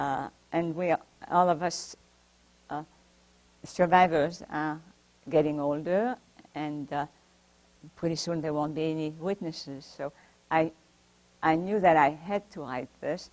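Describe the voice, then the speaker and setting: A woman with a strong French accent speaks in a very deep, low voice at a fairly slow pace. Her intonation is fairly even, and she leaves long, frequent pauses. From France (Paris). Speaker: Holocaust survivor and author. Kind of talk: talk to library audience. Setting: library talk with audience. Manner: halting.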